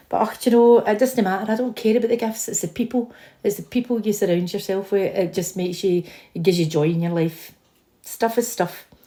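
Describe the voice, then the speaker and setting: With a Scottish accent, a woman talks at a very fast pace in a dark, mellow tone at a medium pitch with ordinary pitch variation. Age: 50s. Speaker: vlogger. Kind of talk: casual chat. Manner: animated.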